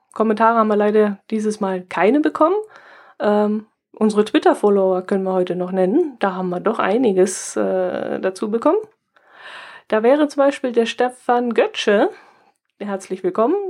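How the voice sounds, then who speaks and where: A woman pitched fairly high keeps a moderate pace, varies her pitch in an ordinary way, and leaves long, frequent pauses. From southern Germany near Austrian and Swiss border. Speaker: podcast co-host. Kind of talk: casual chat.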